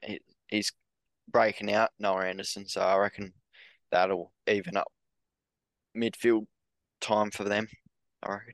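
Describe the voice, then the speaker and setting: Speaking at a fairly slow pace with long, frequent pauses, a man with an Australian accent uses a fairly low pitch and monotone, flat intonation, the sound dry and close with no echo. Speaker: sports podcast co-host. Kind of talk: casual chat.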